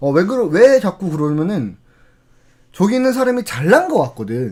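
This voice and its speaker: His voice sits high for a man. The pitch leaps up and down over a very wide range. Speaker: CS trainer / lecturer. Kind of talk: lecture. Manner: fast.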